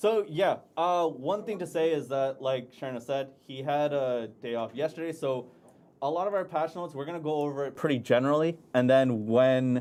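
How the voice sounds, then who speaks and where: Mumbling at a moderate pace, a man speaks in a fairly high pitch with ordinary pitch variation. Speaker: game community manager. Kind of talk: livestream game update discussion.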